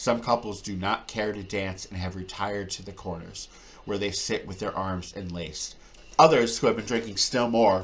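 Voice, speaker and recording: A man with an ordinary speaking voice and a fairly low pitch talks at a moderate pace, with ordinary pitch variation and big swings in loudness. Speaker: audiobook reader. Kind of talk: reading aloud.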